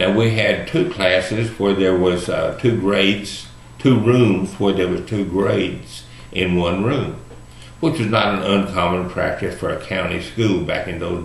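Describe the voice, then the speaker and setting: With a Texan accent, a man of fairly low pitch speaks at a fairly slow pace with lively intonation, amid audible room echo and noticeable background noise. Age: 60s. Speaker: video blogger. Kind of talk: personal monologue. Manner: casual, folksy.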